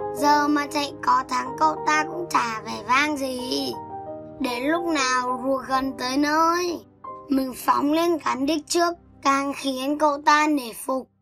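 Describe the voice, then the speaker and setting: Faint music plays behind a put-on character voice at a high pitch, delivered at a fairly slow pace. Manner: smug, mocking.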